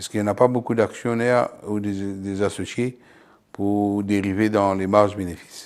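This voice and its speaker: A man speaks at a moderate pace in a fairly low pitch with monotone, flat intonation. The recording is very clean, with a silent background. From abroad, came to France at 28. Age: 60s. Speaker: company founder, butcher. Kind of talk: interview testimony.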